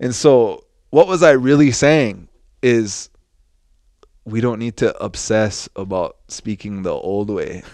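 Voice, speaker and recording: In a very clean recording with a silent background, a man with a medium-pitched voice speaks very slowly with lively intonation and long, frequent pauses. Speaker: Lakota language teacher and social media comedian. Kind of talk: casual chat. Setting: studio. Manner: laid back.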